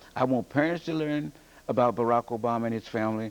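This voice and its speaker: Lively intonation and a fairly quick pace from a man with a plain, everyday voice at a medium pitch. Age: 60s. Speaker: English teacher and author. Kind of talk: TV news interview.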